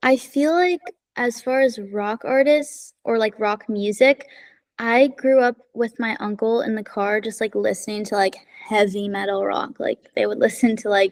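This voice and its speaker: A woman at a fairly high pitch with an American accent, moderate pace and ordinary pitch variation, in a dry, close sound with no echo. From Los Angeles. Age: young. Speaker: singer-songwriter. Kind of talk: interview answer. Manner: casual, many filler words.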